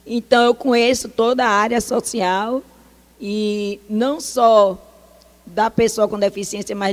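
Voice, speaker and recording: The voice is a woman's, fairly high in pitch. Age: 60s. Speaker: social worker. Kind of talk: talk. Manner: animated.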